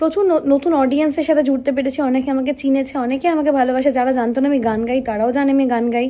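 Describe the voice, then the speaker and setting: A woman speaks in a high voice with fairly even intonation. Noticeable background noise runs underneath. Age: 20s. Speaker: stage singer and vlogger. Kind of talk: vlog monologue to camera. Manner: halting, many fillers.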